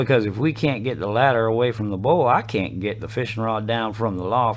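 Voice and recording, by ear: The speaker reads the text aloud in a natural voice.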